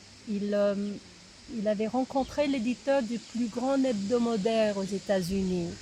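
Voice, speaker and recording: A woman with a slight non-native accent, fairly slow, with ordinary pitch variation and noticeable background noise. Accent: slight foreign accent in French. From United States. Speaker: writer's daughter, interviewee. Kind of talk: interview. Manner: hesitant, with fillers.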